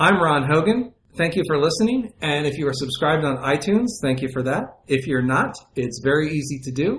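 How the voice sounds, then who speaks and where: A man with a plain, everyday voice, fairly high in pitch, lively intonation, a fairly quick pace, and hardly any pauses. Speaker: podcast host interviewer. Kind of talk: interview.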